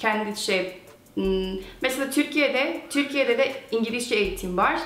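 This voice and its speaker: A woman with a Korean accent speaks at a fairly slow pace in a high voice with lively intonation and very even loudness. Noticeable background noise and audible room echo fill the recording. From USA. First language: Korean (speaking Turkish). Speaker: YouTuber, language learner. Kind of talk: casual chat in Turkish. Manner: halting, with many fillers.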